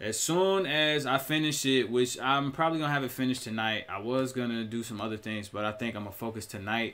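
At a moderate pace, a man is talking. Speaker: entrepreneur vlogger. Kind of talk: casual vlog chat. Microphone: webcam.

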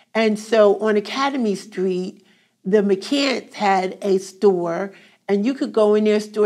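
A woman with a South Jersey accent, fairly high in pitch, at a fairly slow pace against a quiet background. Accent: South Jersey American English. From Glassboro, New Jersey. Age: 70s. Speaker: oral history interviewee. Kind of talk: oral history interview answer. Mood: warm, nostalgic. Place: classroom.

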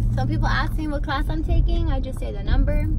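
A woman talks at a very fast pace, the sound dry with no echo. Loud music plays in the background. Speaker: beauty vlogger. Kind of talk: casual vlog chat. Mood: playful, chatty. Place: car. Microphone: phone near.

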